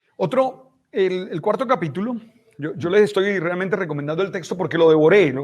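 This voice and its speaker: A man with a high voice speaks fairly quickly, his pitch rising and falling in an ordinary way. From Colombian Caribbean, Santa Marta. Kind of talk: casual interview chat. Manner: halting, repeats words.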